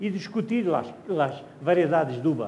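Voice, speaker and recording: A man with a high voice talks at a moderate pace, showing ordinary pitch variation. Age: 70s. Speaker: wine educator. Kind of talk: wine tasting talk. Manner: halting, with false starts.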